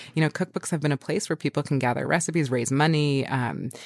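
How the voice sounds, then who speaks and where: A woman's very deep, low voice at a fairly quick pace, with ordinary pitch variation and a dry, close sound with no echo. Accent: American. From New York City (Manhattan). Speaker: cookbook author. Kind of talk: interview conversation.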